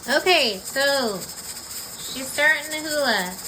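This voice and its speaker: A woman speaks in a raised, projected voice, high in pitch, with lively intonation. Noticeable background noise and audible room echo surround her. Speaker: home canning instructor. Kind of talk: tutorial. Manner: loud.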